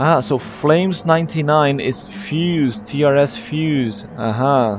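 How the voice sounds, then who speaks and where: A man's fairly high pitch, very slow pace and lively intonation, with noticeable background noise. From Brazil. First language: Portuguese. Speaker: esports race commentator and streamer. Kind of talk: live race commentary and chat with viewers. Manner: casual, hesitant with fillers.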